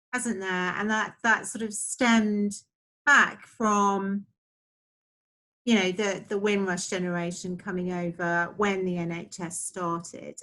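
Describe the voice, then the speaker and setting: A woman speaks at a medium pitch with a bright, sharp tone. Her pace is very slow. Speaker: interview host. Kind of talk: casual interview talk.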